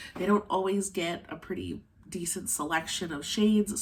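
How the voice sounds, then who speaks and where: Somewhat breathy, the woman speaks with a medium pitch. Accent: American. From Arizona. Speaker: beauty YouTuber. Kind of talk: makeup tutorial chat. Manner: casual, filler words.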